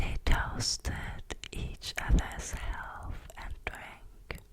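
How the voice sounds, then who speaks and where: Very slow whispering with noticeable background noise. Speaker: ASMR creator. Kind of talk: read story. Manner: whispered.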